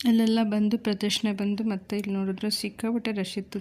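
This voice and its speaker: A woman's monotone, flat delivery. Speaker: vlogger. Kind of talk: vlog narration.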